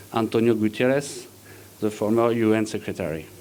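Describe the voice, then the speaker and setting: A man with a French accent speaks at a moderate pace. His pitch is medium. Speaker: engineer presenting at a conference. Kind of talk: conference presentation. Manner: halting, many fillers.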